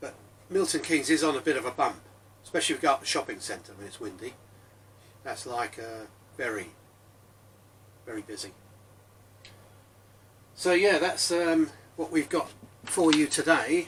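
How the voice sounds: A man talks at a medium pitch and moderate pace, his intonation lively and his tone fairly bright with a husky, rough edge. He leaves long, frequent pauses.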